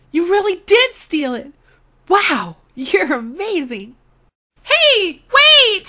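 Its pitch leaps across a very wide range. The voice is a put-on character act. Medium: voice reel.

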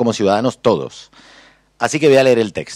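A man talks at a fairly quick pace with ordinary pitch variation, the sound dry with no echo and the background quiet. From Argentina, Buenos Aires. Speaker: cartoonist and humorist; panelist. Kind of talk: panel talk. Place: hall. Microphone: podium.

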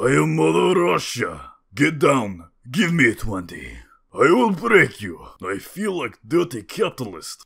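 Using a put-on character voice, a man sounds raspy at a fairly high pitch and a fairly slow pace. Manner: commanding.

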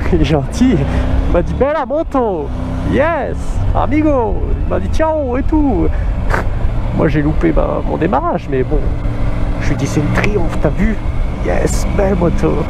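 Speech comes at a very slow pace, broken by long, frequent pauses, with noticeable background noise behind it. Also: dry sound with no echo. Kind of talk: casual vlog chat. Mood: cheerful, amazed by scenery. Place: motorbike.

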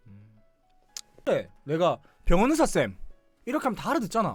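The speech moves at a fairly slow pace, with very wide pitch swings throughout. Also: man. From Busan. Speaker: live streamer. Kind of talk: casual live stream talk.

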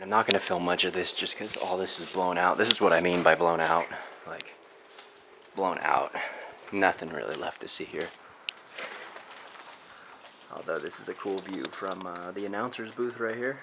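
Against noticeable background noise, a man with a very deep, low pitch speaks with fairly even intonation and long, frequent pauses. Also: moderate pace. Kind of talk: casual vlog chat. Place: stadium. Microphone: phone near.

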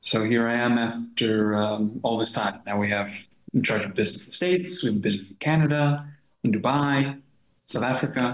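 A man's voice at a fairly quick pace, with ordinary pitch variation and audible room echo. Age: 30s. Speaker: translation company partner. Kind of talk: casual interview. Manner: hesitant, many fillers. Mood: relaxed, reflective. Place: home room. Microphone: webcam.

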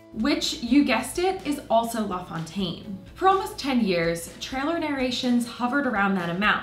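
Faint music plays behind a woman speaking at a high pitch with very wide pitch swings. She goes at a fairly slow pace, and the room echo is audible. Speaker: video host. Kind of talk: documentary explainer narration. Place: home room.

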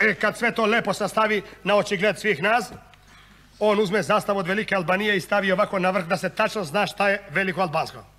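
A man projects his voice, raising it up high. The tone is bright and sharp. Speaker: monodrama actor, satirical comedian. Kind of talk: satirical monodrama on stage, comic political monologue. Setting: stage with audience. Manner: animated, sarcastic, deadpan punchlines; switches between voices and dialects, conversational rhythm.

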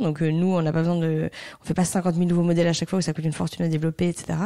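A woman speaks with a dark, mellow tone at a fairly low pitch and fairly even intonation. The recording is very clean, with a silent background. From Belgium, Brussels. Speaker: fashion brand founder. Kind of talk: interview.

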